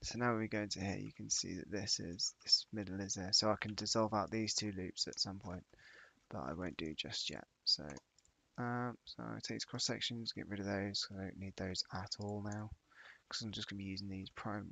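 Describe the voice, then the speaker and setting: Speaking quietly at a moderate pace, a man uses a fairly low pitch and fairly even intonation. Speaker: 3D modeling streamer. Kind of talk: live tutorial stream narration. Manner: casual, hesitant.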